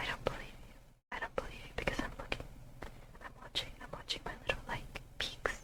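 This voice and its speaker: A woman whispers at a fairly quick pace with big swings in loudness. Noticeable background noise is present. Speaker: streamer. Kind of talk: casual chat. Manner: soft-spoken.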